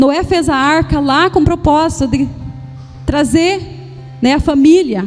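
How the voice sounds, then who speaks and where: With music in the background, a woman speaks in a high voice with lively intonation. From Paraná, southern Brazil. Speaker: pastor. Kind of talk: sermon. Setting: church service. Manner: halting, with frequent repetitions and fillers.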